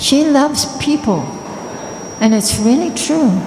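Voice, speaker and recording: A woman with ordinary pitch variation, amid noticeable background noise and audible room echo. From Australia. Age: 70s. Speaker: spiritual teacher. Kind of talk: talk to an audience.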